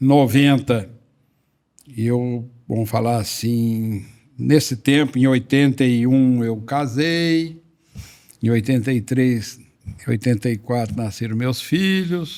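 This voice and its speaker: With long, frequent pauses, a man speaks at a very slow pace in a medium pitch with ordinary pitch variation and a dark, mellow tone, captured on a very clean recording with a silent background. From Brazil, interior of São Paulo state. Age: 70s. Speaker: veterinarian and company founder. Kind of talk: interview storytelling.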